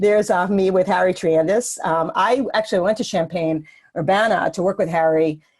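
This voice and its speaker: A woman talks at a moderate pace. Her medium pitch shows ordinary variation. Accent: New York. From New York City. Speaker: cross-cultural psychologist. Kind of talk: webinar lecture. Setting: webinar.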